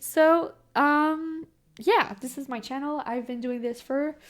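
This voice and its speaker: In a Quebec accent, a woman speaks with a high pitch. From Quebec, Canada. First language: French. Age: young. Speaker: tarot reader and video creator. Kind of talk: casual talk to camera. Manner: fast; stumbles on words.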